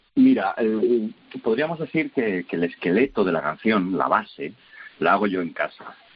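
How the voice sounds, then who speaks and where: Keeping a moderate pace, a man talks with very wide swings in his pitch. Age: 40s. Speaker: rock musician. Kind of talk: interview. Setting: phone call. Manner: halting.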